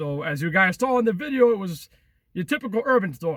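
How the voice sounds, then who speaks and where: A man projects a raised, energetic voice with a bright, sharp tone at a high pitch, with a Long Island accent. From Long Island, New York. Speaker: travel and urban exploration vlogger. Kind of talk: casual vlog talk to camera. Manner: highly energetic; repetitive, halting fillers.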